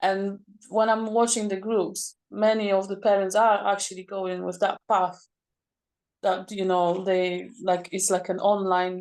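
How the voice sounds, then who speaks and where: A woman speaks in a flat, monotone way with a non-native accent. Her pace is fairly slow, and the background is quiet. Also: medium pitch for a woman. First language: not English. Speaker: parent planning to homeschool. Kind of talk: group video call discussion. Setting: video call. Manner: halting.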